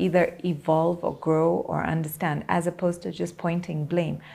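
A woman's flat, monotone intonation at a moderate pace. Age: 40s. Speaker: media personality. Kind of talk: interview.

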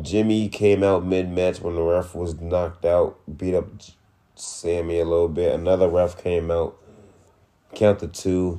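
Very deep and low in pitch, a man speaks at a fairly slow pace in a dark, mellow tone, with monotone, flat intonation and long, frequent pauses. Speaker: wrestling podcast co-host. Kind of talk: casual chat. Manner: stutters.

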